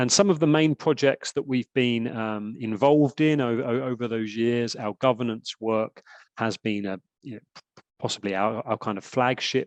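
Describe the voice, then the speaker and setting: The voice moves at a moderate pace with ordinary pitch variation, recorded dry and close with no echo. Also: man. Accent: British. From UK. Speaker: sports governance expert, lawyer by training. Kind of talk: lecture. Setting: webinar video call. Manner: hesitant, many fillers and repetitions.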